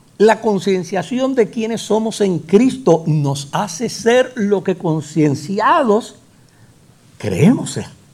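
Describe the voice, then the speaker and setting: With a Puerto Rican accent, a man talks at a very slow pace, his pitch high and his intonation lively. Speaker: pastor. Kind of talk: sermon. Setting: church.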